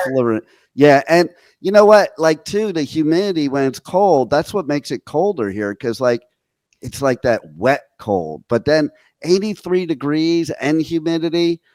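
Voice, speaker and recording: In a very clean recording with a silent background and a dry, close sound with no echo, a man with an American accent and an ordinary speaking voice talks fairly slowly, his fairly high pitch carrying lively intonation. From New Jersey. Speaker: internet radio host. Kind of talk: casual radio interview.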